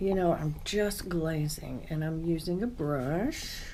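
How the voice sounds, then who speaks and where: Audible room echo surrounds a woman with a fairly low pitch who speaks at a very slow pace. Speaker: potter. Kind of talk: casual tutorial while working. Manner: relaxed, soft-spoken.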